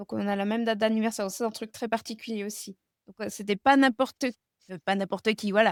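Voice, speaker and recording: Fairly high-pitched, a woman speaks with fairly even intonation and big swings in loudness. The sound is dry and close, with no echo. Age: 30s. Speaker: guest speaking about chronic illness and grief. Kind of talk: interview about personal grief. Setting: video podcast interview. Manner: halting, many hesitations.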